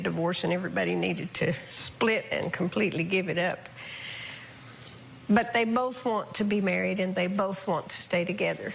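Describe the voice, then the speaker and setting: Noticeable background noise fills the recording. Over it, a woman speaks at a fairly quick pace. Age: 60s. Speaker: talk show guest. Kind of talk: talk show interview.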